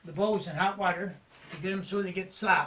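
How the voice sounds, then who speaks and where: In a Newfoundland accent, a man with a high-pitched voice speaks at a moderate pace over noticeable background noise. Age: 70s. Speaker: fisherman. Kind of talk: interview. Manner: halting.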